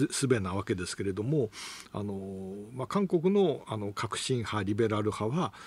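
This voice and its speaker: A man with a fairly low, somewhat breathy voice speaks at a moderate pace with ordinary pitch variation, the sound dry with no echo. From Japan, Toyama; Japan. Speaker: economist and news commentator; economist commentator on radio news. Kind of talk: radio news commentary. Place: studio.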